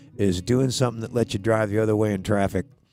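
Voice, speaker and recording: A man's medium-pitched voice over background music. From US West, Southern California (Hollywood). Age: 60s. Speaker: country songwriter. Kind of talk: casual chat and storytelling at a songwriter round. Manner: halting, many repeated words; animated.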